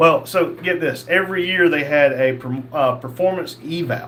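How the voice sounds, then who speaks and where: There is noticeable background noise and audible room echo. A man with a Southern US accent speaks at a moderate pace with ordinary pitch variation. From North Carolina. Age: 50s. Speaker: live streamer, former police officer. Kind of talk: casual livestream chat reading viewer comments. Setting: livestream.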